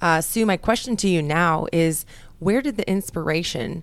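At a moderate pace, a woman speaks in a very clean recording with a silent background. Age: 30s. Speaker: radio host. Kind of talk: radio interview. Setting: studio.

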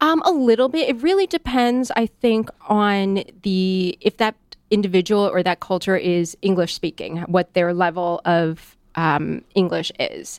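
A woman's medium-pitched voice with lively intonation and hardly any pauses, in a dry, close sound with no echo. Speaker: corporate compliance and training leader. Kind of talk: casual interview. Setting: on-location broadcast studio. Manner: fast.

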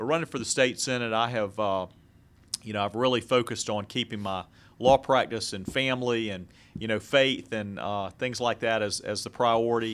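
Heard in a very clean recording with a silent background, a man with an American accent uses a plain, everyday voice at medium pitch with fairly even intonation. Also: moderate pace. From Jacksonville, Florida. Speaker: lawyer and political candidate. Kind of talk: radio interview.

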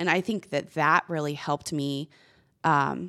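In an American accent, a woman with a very deep, low pitch and vocal fry speaks at a fairly slow pace with ordinary pitch variation, the sound dry and close with no echo on a very clean recording with a silent background. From Texas. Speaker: minor league baseball general manager. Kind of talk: interview. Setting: studio.

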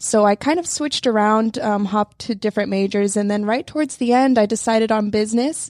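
With a plain, everyday voice, a woman talks at a fairly quick pace in a fairly high pitch with ordinary pitch variation. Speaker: university student. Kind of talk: radio interview. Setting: studio.

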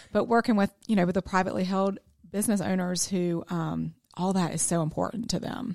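Fairly quick and fairly even in intonation, a woman of medium pitch talks in an unremarkable speaking voice on a very clean recording with a silent background. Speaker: accounting firm business developer. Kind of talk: radio interview. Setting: studio.

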